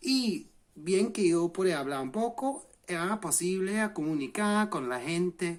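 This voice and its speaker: With lively intonation and a high pitch, a man talks at a very slow pace. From England. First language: English (speaking Spanish). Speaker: language learning vlogger. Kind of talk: vlog explainer. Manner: halting, self-correcting.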